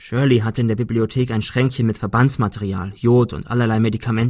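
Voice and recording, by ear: The speaker is reading aloud in a natural voice. Intonation stays fairly even.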